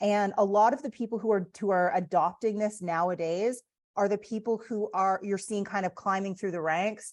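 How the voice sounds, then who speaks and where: A woman with a Canadian accent speaks in a normal speaking voice at medium pitch, with ordinary pitch variation and a moderate pace, over a quiet background. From Canada. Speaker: real estate agent and coach. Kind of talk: online training presentation. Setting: video call.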